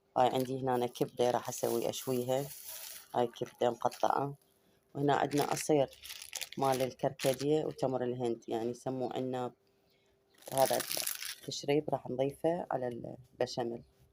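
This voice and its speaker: A woman talks at a moderate pace with long, frequent pauses. Her very deep, low voice has a dark, mellow tone and a monotone, flat intonation. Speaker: home cooking vlogger. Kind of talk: cooking tutorial. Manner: casual.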